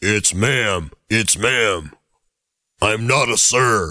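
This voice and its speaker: This man puts on a character voice with a fairly low pitch. He speaks at a very slow pace. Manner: furious, screaming.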